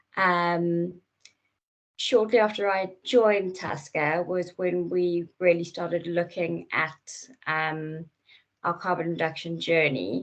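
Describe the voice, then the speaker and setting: Speaking at a very slow pace, a woman with a South African accent has a fairly low pitch and fairly even intonation. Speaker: company product manager. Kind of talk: presentation. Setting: virtual session.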